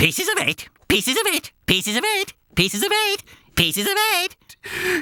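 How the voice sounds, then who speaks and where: A put-on character voice, robotic and shrill, at an extremely high pitch. It moves at a moderate pace. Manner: repetitive, mechanical.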